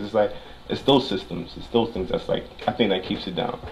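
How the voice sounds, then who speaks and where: Very fast speech from a man, with noticeable background noise behind it. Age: 20s. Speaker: optician. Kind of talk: casual chat.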